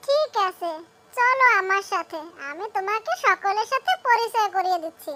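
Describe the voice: Cartoonish character voice from a woman, extremely high in pitch, at a moderate pace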